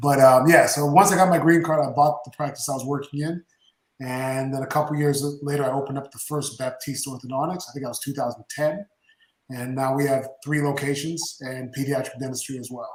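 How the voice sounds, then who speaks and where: Energetic and fairly quick, the speaker talks with a Canadian accent and big swings in loudness. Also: man, fairly high pitch for a man. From Canada, Toronto area. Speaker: orthodontist and business owner. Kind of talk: podcast interview.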